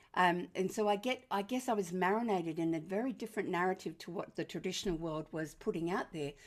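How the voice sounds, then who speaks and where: Speaking in an Australian accent, a woman talks very fast at a medium pitch with ordinary pitch variation. The recording is very clean, with a silent background. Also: hardly any pauses. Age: 70s. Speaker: parenting author and educator. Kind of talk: presentation to an audience. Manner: warm, lighthearted.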